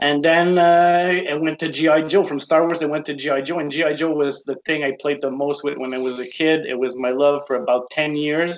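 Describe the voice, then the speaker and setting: A man with a French Canadian accent, fairly high pitch, fairly even intonation, a fairly quick pace and hardly any pauses. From Quebec. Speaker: toy collector. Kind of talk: casual interview chat.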